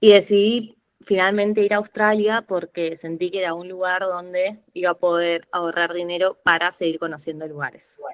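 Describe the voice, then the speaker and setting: In a Rioplatense accent, a woman with a fairly low pitch speaks at a fairly slow pace, her intonation fairly even, in a dry, close sound with no echo. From Argentina, Buenos Aires city. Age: 20s. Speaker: podcast guest, lawyer turned traveler. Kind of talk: casual interview conversation.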